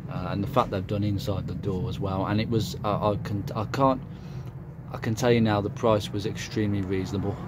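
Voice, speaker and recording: Amid audible room echo and noticeable background noise, a man with a Birmingham accent talks at a fairly quick pace in a fairly low voice with fairly even intonation. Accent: Brummie. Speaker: car hobbyist YouTuber. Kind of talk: casual vlog walkaround. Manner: hesitant, many fillers.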